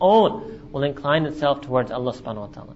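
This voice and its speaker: A man with a New York accent speaks at a fairly high pitch with ordinary pitch variation. Noticeable background noise can be heard. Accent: New York American English. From New York City, USA. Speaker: Islamic scholar and lecturer. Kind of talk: religious lecture.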